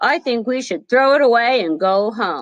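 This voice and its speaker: A female-sounding voice puts on a character voice pitched fairly high. The pace is moderate. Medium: read story.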